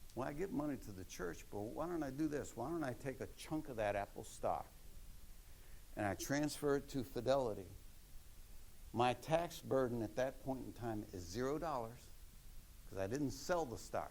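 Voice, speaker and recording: With vocal fry and lively intonation, a man at medium pitch talks at a moderate pace, leaving long, frequent pauses, and the room echo is audible. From Maryland, US. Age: 70s. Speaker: retired accountant giving a talk. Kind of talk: lecture.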